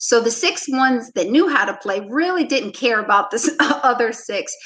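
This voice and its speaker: A high-pitched woman at a moderate pace with very wide pitch swings. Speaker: basketball coach. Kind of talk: interview conversation.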